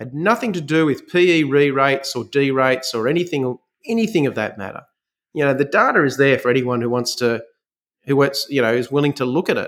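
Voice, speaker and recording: A fairly quick-paced man with an Australian accent. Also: fairly high pitch for a man, ordinary pitch variation. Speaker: fund manager. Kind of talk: interview. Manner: halting.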